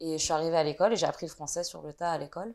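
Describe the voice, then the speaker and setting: A woman with a very deep, low voice speaks very fast on a very clean recording with a silent background. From France. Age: 20s. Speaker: video maker and media founder. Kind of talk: interview. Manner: halting, many hesitations.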